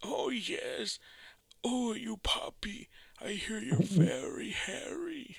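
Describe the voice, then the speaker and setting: In a put-on character voice, the speaker goes at a very slow pace with a fairly high pitch. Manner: creepy.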